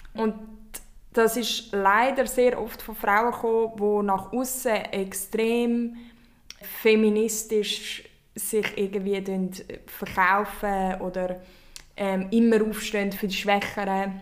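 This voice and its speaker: A woman speaks very slowly at a fairly high pitch in a flat monotone. Long, frequent pauses break her speech, and room echo is audible. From Switzerland. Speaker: podcast host and company founder. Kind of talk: casual chat.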